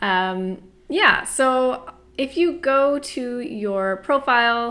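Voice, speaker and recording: A woman speaks with lively intonation. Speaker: university instructor. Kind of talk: tutorial. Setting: home apartment. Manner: loud.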